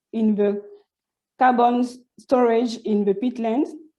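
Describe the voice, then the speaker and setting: A woman with a French accent speaks very slowly at a fairly high pitch. Her tone is dark and mellow, and her intonation fairly even. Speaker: PhD student researcher. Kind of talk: conference presentation. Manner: halting, many false starts and repetitions.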